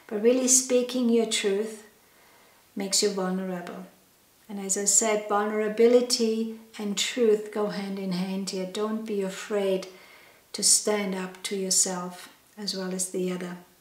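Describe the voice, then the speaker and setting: Audible room echo and noticeable background noise surround the speech. The pace is fairly slow and the intonation monotone and flat. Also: woman, medium pitch for a woman. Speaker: holistic health educator. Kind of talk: educational talk. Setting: wellness studio.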